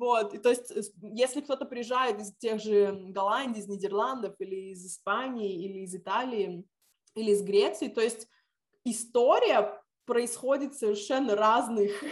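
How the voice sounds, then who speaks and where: A woman's plain, everyday voice, fairly high-pitched, at a fairly slow pace, with ordinary pitch variation and big swings in loudness. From Lithuania (Visaginas). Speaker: civic activist and teacher. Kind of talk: interview.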